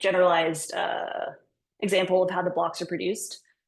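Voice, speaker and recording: A woman talks fairly quickly at a medium pitch. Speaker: software engineer giving a conference talk. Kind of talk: technical talk. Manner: fast; casual, filler-heavy.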